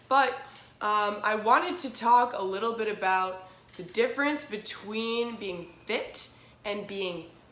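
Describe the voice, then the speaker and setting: A woman's fairly slow, fairly high-pitched speech with lively intonation, amid audible room echo and noticeable background noise. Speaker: fitness vlogger. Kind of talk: casual vlog chat. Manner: casual, with many fillers.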